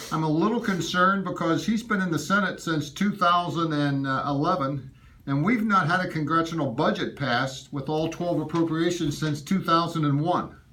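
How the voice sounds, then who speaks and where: With hardly any pauses, a man talks at a moderate pace in a high pitch with ordinary variation, over noticeable background noise and audible room echo. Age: 70s. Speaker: constituent voicing complaint. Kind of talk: in-person complaint to a staffer. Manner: emphatic.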